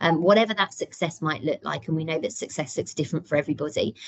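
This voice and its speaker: This woman has a British accent and a fairly low pitch. Her pitch varies in an ordinary way. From UK. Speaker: deputy head teacher. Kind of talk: parent workshop presentation. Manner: many filler ums.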